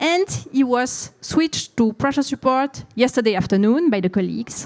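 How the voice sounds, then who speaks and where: On a very clean recording with a silent background, a woman with a French accent speaks at a moderate pace, her high pitch carried by lively intonation. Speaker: intensive care physician. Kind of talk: conference presentation.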